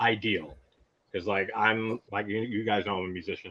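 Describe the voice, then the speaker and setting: A man with an American accent speaks at a moderate pace with a medium pitch. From US Northeast, Long Island. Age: 30s. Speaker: horror YouTuber and musician. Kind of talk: casual chat. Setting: live stream. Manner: animated.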